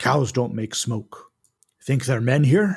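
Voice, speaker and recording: A man's raspy, put-on character voice at a medium pitch, in a very clean recording with a silent background. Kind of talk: broken, simple speech.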